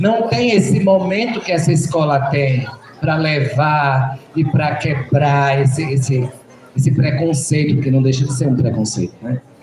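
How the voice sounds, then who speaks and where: A man speaks fairly slowly while noticeable background noise plays behind him. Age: 60s. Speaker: Candomblé priest. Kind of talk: school panel Q&A talk.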